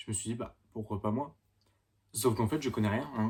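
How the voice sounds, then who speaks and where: A man speaks at a fairly low pitch with a dark, mellow tone. His intonation stays fairly even and his pace is fairly slow. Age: 20s. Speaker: beginner YouTuber. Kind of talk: casual vlog to camera. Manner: halting, hesitant.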